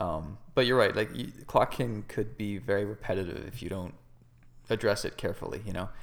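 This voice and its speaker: The man talks at a fairly quick pace. His fairly low pitch shows ordinary variation. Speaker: comic book writer and podcast co-host. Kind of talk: casual chat. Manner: animated.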